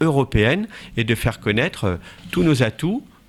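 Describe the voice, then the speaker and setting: A man at a moderate pace, in a very clean recording with a silent background. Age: 40s. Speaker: local election candidate. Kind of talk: campaign interview statement. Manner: hesitant, many fillers.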